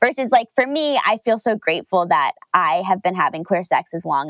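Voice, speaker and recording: In an unremarkable speaking voice, a woman talks at a moderate pace with medium pitch. The sound is dry and close, with no echo. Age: 20s. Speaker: podcast co-host, sex educator and journalist. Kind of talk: casual chat.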